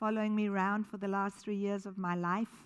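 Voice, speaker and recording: A woman talks in an animated tone at a moderate pace, with a slight South African accent. The recording is very clean, with a silent background. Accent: slight South African tinge. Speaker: charity founder. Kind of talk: keynote talk. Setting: stage with audience.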